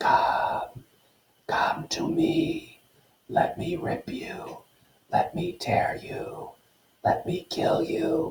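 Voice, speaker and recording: In a put-on character voice, the speaker whispers and growls in a menacing tone, moving at a very slow pace with long, frequent pauses. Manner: eerie, menacing, whispering.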